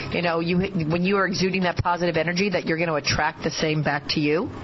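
Her pace is fairly quick, with noticeable background noise around her. The woman has a fairly low pitch and fairly even intonation. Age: 50s. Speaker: surgeon and guest radio host. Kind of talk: radio interview. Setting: radio studio.

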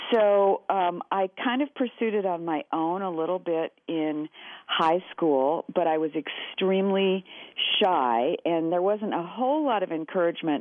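Woman with an American accent in an ordinary speaking voice, fairly low in pitch, fairly slow, with lively intonation. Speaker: shapewear company founder, former actor and psychotherapist. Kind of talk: interview. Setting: phone call.

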